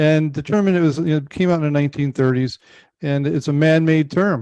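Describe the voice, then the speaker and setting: With a dry, close sound and no echo, a man with a fairly high pitch and a dark, mellow tone talks at a very fast pace in fairly even intonation. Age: 60s. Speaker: podcast host, business advisor. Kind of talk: interview.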